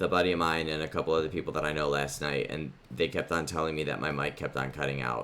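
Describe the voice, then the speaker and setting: A man with a very deep, low pitch and vocal fry speaks at a fairly quick pace. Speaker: gaming youtuber. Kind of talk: let's play commentary. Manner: rambling with many fillers.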